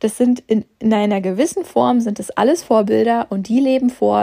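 A woman speaks at a moderate pace with a dark, mellow tone. The sound is dry and close, with no echo. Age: 30s. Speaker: maths tutor and podcast host. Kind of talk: solo podcast monologue. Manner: animated.

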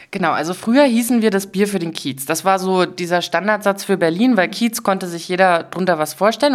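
An ordinary speaking voice from a woman, medium in pitch, fairly quick, with lively intonation. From Dresden, Saxony, eastern Germany. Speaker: social business representative. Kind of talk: interview. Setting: in person studio.

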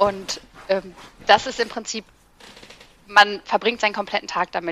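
A woman talks at a fairly quick pace, captured in a dry, close sound with no echo. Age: 30s. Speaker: ADHD content creator. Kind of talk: casual chat.

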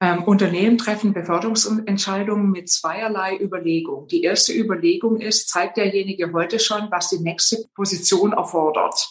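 In a Swabian accent, a woman speaks at a moderate pace in a medium pitch, with very even loudness, hardly any pauses and fairly even intonation. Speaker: executive coach and former board member. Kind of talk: interview.

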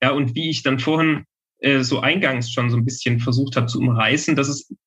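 Fairly quick delivery from a man with a fairly high voice and ordinary pitch variation. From western Saxony, Germany. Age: 20s. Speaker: legal researcher. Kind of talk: interview.

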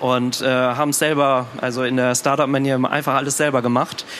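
A man's monotone, flat voice at medium pitch, with noticeable background noise. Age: 20s. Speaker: startup co-founder. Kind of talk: stage interview. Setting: stage with audience.

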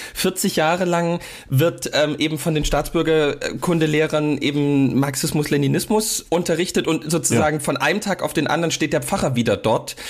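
Fairly high for a man, this normal speaking voice moves at a moderate pace with fairly even intonation, very even loudness and hardly any pauses. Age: 30s. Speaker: pastor and podcast co-host. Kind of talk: casual chat.

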